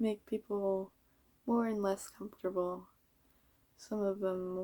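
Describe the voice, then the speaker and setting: A woman mumbles at a fairly slow pace in a medium pitch. Her intonation is monotone and flat, her tone dark and mellow. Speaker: vlogger. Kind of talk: casual monologue. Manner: mumbling.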